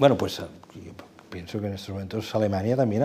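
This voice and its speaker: Ordinary pitch variation marks this man's speech, which runs at a fairly quick pace. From Catalonia, Badalona. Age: 60s. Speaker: journalist. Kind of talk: long-form interview.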